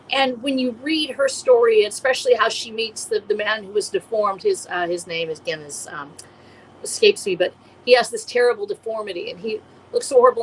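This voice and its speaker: With very wide pitch swings, a woman talks at a fairly quick pace and a high pitch against noticeable background noise. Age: 60s. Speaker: indie post-apocalyptic author. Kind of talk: casual chat. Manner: halting.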